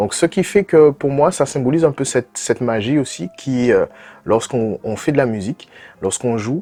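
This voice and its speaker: A man speaks at a moderate pace. His tone is dark and mellow. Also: medium pitch for a man, lively intonation, dry, close sound with no echo, very clean recording, silent background. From French Caribbean (Creole culture). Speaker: jazz pianist. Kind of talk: interview. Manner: halting, many hesitations.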